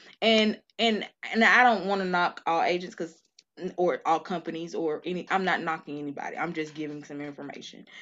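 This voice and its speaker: Moderate pace and ordinary pitch variation in a fairly low female voice. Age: 30s. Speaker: life insurance agent. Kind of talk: casual chat.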